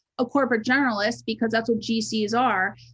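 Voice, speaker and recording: A woman with a fairly high, somewhat breathy voice speaks at a fairly quick pace with fairly even intonation. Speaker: resume writer and personal brand strategist. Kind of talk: webinar presentation. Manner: occasionally fumbling over words.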